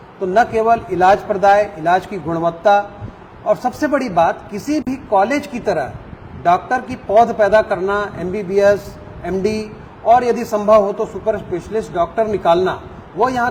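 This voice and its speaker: High male voice, pitch shifting in a usual way, against clearly audible background noise. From South India (Andhra), raised in Chhattisgarh. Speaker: medical college dean, microbiology professor. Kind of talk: interview. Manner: formal.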